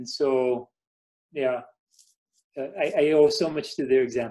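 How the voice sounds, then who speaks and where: A man with an American accent talks at a fairly slow pace, his pitch medium and its variation ordinary. His tone is dark and mellow. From United States. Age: 50s. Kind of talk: informal talk to parish group.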